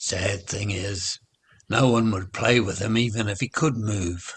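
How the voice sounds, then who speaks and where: Putting on a raspy, growling character voice, a man speaks at a fairly slow pace. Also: fairly low pitch for a man. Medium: read story. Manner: friendly, gentle.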